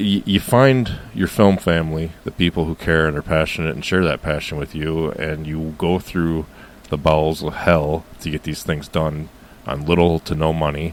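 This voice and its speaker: The pace of speech is moderate. An American accent comes through. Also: man, very deep, low pitch for a man, ordinary pitch variation. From United States. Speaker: filmmaker. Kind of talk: interview answer.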